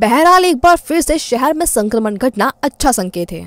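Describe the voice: Her voice high in pitch, a woman speaks with big pitch swings. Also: moderate pace, dry, close sound with no echo.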